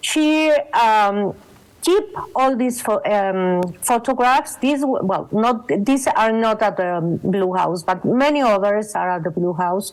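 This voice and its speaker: A woman in a Mexican accent, fairly high-pitched, very slow, with very even loudness. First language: Spanish. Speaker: photographer and exhibition co-curator. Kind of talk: panel talk. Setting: video call. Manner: halting.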